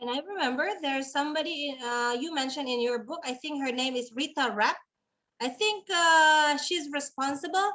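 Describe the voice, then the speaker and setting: Speaking in an Indonesian accent, a woman uses a high pitch and a bright, sharp tone, with ordinary pitch variation at a moderate pace. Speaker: webinar host. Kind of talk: moderating webinar with translation.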